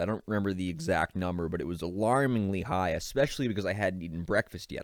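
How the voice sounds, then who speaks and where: With an American accent, a man speaks in a very deep, low pitch with ordinary pitch variation. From Boston area, Massachusetts. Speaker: podcast host. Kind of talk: solo podcast monologue. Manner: casual, conversational.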